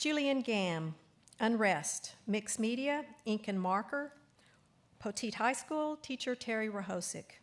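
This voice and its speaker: A woman with a Texas accent speaks at a fairly high pitch with lively intonation. The background is quiet. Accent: Texas twang. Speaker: awards ceremony announcer. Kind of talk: reading aloud. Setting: auditorium ceremony. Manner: formal.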